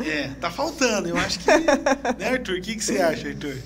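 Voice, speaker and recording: Moving at a moderate pace, a man's voice shows very wide pitch swings. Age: 40s. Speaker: podcast host. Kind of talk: podcast interview. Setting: studio.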